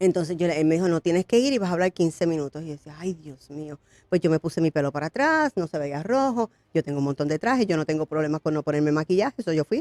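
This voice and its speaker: Speaking at a very fast pace, a woman uses a fairly low pitch and lively intonation. The sound is dry and close with no echo. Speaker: pastor and congressional candidate. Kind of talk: interview testimony.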